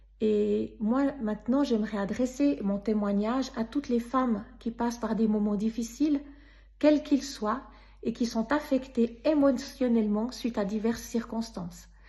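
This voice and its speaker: A woman speaks with a Swiss accent and a dark, mellow tone. Her intonation is fairly even and her pace fairly slow. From Switzerland. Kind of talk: personal faith testimony.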